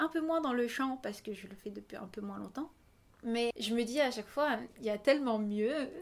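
A normal speaking voice at a moderate pace, with ordinary pitch variation and big swings in loudness. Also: woman, fairly high pitch for a woman. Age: 20s. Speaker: singer and dancer. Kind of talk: interview. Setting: at the host's home on a couch.

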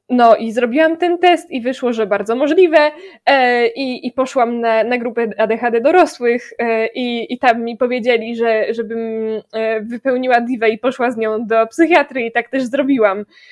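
A woman talks in a high pitch at a moderate pace, and her pitch varies in an ordinary way. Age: 20s. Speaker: music education student. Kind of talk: casual chat.

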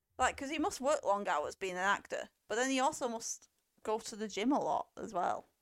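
A high-pitched woman's voice with an English accent and lively intonation. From England. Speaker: film podcast co-host. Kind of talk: casual chat.

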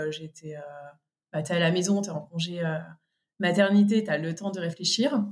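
A woman talks with fairly even intonation at a medium pitch, keeping a moderate pace. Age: 30s. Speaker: podcast guest, mother. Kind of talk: casual interview. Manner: hesitant, many fillers.

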